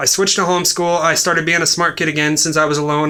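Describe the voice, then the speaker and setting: Speaking at a very fast pace, a man keeps a monotone, flat intonation at a fairly high pitch. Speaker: vlogger. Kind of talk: casual monologue.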